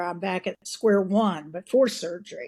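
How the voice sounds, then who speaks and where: With a Texan accent and a dark, mellow tone, a woman speaks at a fairly slow pace. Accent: Texan, kept after decades away. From Texas. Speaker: bariatric surgery patient, community member. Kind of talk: interview testimony.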